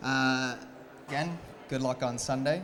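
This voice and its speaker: A Canadian-accented man of fairly high pitch amid noticeable background noise and audible room echo. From Canada. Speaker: agritech company representative, conference speaker. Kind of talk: conference talk. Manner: hesitant, many fillers and repeated words.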